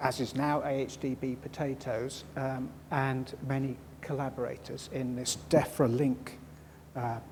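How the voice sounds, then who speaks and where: A man talks in a dark, mellow tone that is somewhat breathy, with audible room echo around him. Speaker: crop storage scientist. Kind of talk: conference talk. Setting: conference hall with audience. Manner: mumbling; halting.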